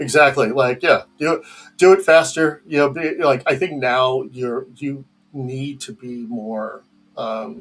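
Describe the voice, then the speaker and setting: Using a plain, everyday voice, a man talks at a fairly slow pace and a fairly high pitch, with ordinary pitch variation and big swings in loudness. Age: 50s. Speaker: game industry executive. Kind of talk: casual chat.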